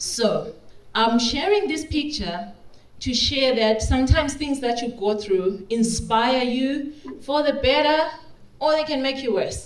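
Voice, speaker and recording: With audible room echo and noticeable background noise, a woman speaks. Her high voice moves at a fairly slow pace. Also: ordinary pitch variation. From Zimbabwe, Victoria Falls. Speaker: regenerative agriculture practitioner. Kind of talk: conference talk.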